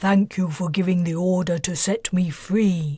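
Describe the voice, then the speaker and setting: In a rumbling, put-on character voice, the speaker moves at a moderate pace. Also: woman, medium pitch for a woman. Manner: grateful, calm.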